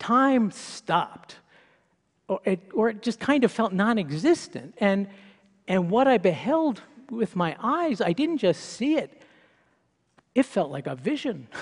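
Pitched high and swinging very widely, a man's voice moves at a fairly slow pace with long, frequent pauses. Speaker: science writer giving a talk. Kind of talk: prepared public talk.

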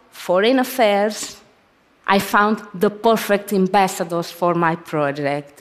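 Speaking with a Portuguese accent, a woman moves at a fairly slow pace with lively intonation. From Brazil. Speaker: photographer. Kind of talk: public talk.

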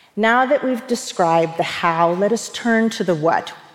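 A woman speaks at a fairly slow pace with a medium pitch and lively intonation, over noticeable background noise. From US South, rural East Tennessee. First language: Persian. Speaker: leadership speaker. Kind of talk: talk to an audience.

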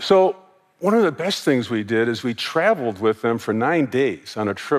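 An unremarkable speaking voice from a man with an American accent, medium in pitch, with lively intonation at a moderate pace. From United States. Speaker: former corporate sustainability executive. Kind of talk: conference talk.

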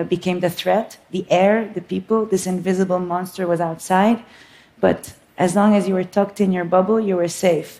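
A woman at a medium pitch with a dark, mellow tone, monotone, flat intonation and a moderate pace. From Lebanon, Beirut. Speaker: filmmaker. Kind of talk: public talk.

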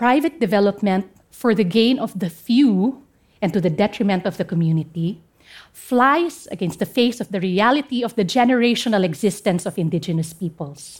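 Speaking at a moderate pace with a Filipino accent, a woman uses lively intonation at a medium pitch, her voice somewhat breathy. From Philippines, Central Mountain Range. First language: Kankanaey. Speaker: lawyer. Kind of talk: talk to an audience.

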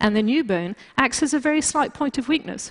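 Speaking with a British accent, a woman keeps a fairly quick pace. Her intonation is lively. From Britain, also raised in France. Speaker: bioengineering scientist. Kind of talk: lecture. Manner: halting, many fillers.

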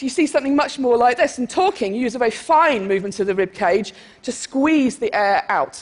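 Animated and very fast, a woman with an English accent speaks at a high pitch with very wide pitch swings. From England. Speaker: cognitive neuroscientist. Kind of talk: lecture.

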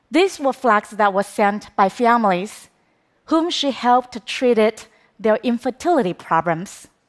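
With a Chinese accent, a woman speaks at a moderate pace in a fairly high pitch. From China. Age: 30s. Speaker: documentary filmmaker. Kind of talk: public talk.

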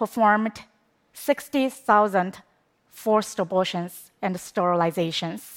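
In a Chinese accent, a woman speaks at a fairly slow pace with long, frequent pauses. The recording is very clean, the background silent. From China. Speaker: documentary filmmaker. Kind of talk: talk to an audience. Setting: stage with audience.

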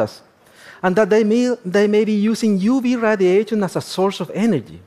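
A man's high voice in a Spanish accent, moderately paced, with lively intonation. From Chile, Atacama region. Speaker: astrobiologist. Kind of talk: lecture.

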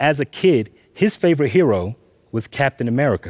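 In a normal speaking voice, a man at medium pitch uses lively intonation on a very clean recording with a silent background. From US South, Atlanta, Georgia. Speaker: graphic novelist. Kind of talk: talk to a live audience.

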